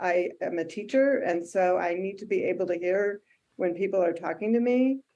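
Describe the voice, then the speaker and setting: A woman with an American accent and a plain, everyday voice talks at a fairly slow pace, using a medium pitch and ordinary pitch variation. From Michigan. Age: 60s. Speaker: patient panelist, teacher. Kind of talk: testimony.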